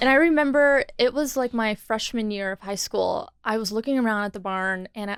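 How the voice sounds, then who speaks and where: Speaking at a fairly quick pace with an American accent, a woman uses a fairly high pitch and ordinary pitch variation, in a very clean, silent-background recording with a dry, close sound and no echo. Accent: Texan accent, mostly hidden in work mode. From Texas. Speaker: skincare studio founder. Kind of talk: podcast interview. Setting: podcast studio.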